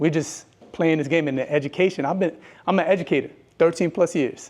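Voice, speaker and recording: Talking at a very fast pace, a man with a strong New York accent uses a high pitch and an animated tone. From New York, Brooklyn. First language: bilingual Spanish and English. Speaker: educator and speaker. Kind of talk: motivational talk.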